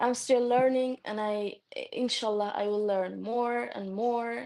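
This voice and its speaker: The speech moves at a very slow pace. Pitch variation is ordinary. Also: woman. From Turkey. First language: Turkish. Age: 20s. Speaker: new convert sharing her story. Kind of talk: testimony. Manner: halting, many fillers.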